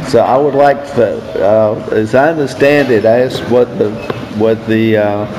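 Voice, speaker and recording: At a moderate pace and with very even loudness, a man speaks amid audible room echo and noticeable background noise. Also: medium pitch for a man, fairly even intonation. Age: 70s. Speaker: recovery speaker. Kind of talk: testimony. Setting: stage with audience.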